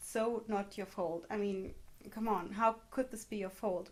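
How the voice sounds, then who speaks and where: A woman speaks with a German accent at a moderate pace. Her pitch is fairly high and her intonation fairly even. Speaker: vlogger. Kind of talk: personal testimony vlog.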